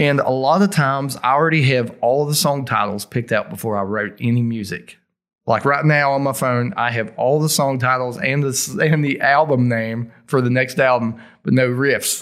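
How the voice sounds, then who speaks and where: A man speaks with an Appalachian accent on a very clean recording with a silent background. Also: medium pitch for a man, ordinary pitch variation, moderate pace. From West Virginia. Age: 40s. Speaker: heavy metal vocalist and band founder. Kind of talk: casual interview conversation. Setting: studio.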